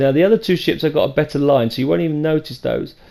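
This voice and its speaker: A man with a British accent talks at a very fast pace, his dark, mellow tone carrying ordinary pitch variation. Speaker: video game tutorial creator. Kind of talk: tutorial. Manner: hesitant, many fillers.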